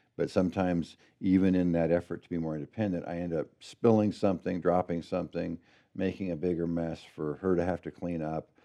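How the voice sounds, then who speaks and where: Over a quiet background, a man with a West Coast accent speaks at a fairly quick pace in a very deep, low pitch and a dark, mellow tone. His intonation is monotone and flat, but his loudness swings widely. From Oregon, US. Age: 60s. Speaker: pastor. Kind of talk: interview.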